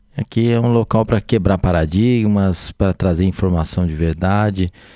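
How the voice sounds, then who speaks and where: Man with a Minas Gerais accent, a very deep, low pitch, a dark, mellow tone, very even loudness, ordinary pitch variation and a moderate pace, in a dry, close sound with no echo. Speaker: physician and city councillor. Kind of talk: casual podcast chat. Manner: hesitant, many fillers.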